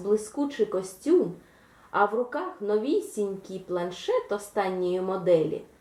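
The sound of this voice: Someone reads in an unforced reading voice.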